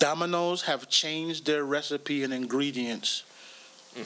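A man speaks at a fairly high pitch with ordinary pitch variation. There is noticeable background noise. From Jamaica. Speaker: comedian. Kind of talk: casual chat.

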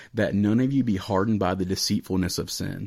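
A man talks at a fairly quick pace in an ordinary speaking voice, pitched fairly low. The intonation is fairly even, and the recording is very clean with a silent background. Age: 20s. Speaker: podcast host and student pastor. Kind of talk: casual chat.

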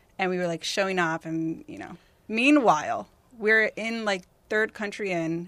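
With a West Coast American accent, a woman at medium pitch talks at a fairly slow pace, showing ordinary pitch variation and big swings in loudness. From Northern California (Tracy, near Stockton). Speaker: music journalist and magazine founder. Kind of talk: casual chat.

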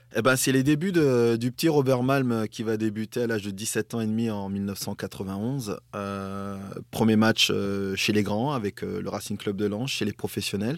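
A man at a fairly slow pace with hardly any pauses and ordinary pitch variation. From northern France. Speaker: former footballer and TV pundit. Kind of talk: casual interview.

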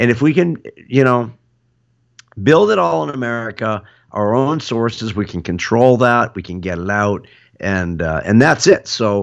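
An unremarkable speaking voice from a man, fairly low in pitch, with lively intonation at a moderate pace against a quiet background. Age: 50s. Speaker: podcast host and boat builder. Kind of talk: casual chat.

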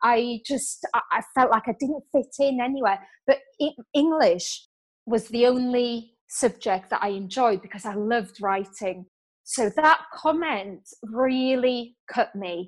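A woman speaks in a British accent at a very slow pace. Her voice sits high in pitch. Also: ordinary pitch variation. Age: 30s. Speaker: author and business coach. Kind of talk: interview.

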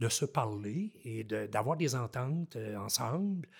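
Heard in a very clean recording with a silent background, a man with medium pitch speaks with lively intonation. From Haute-Gatineau, Quebec. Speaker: forestry engineer, former mayor. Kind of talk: casual interview.

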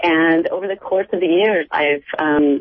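A woman's normal speaking voice with an American accent, fairly low in pitch, at a fairly slow pace with fairly even intonation. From United States. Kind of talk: radio interview.

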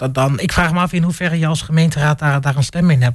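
The speech moves at a very fast pace, somewhat breathy, with fairly even intonation. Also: man. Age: 30s. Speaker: panel guest. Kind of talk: radio panel discussion. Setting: studio.

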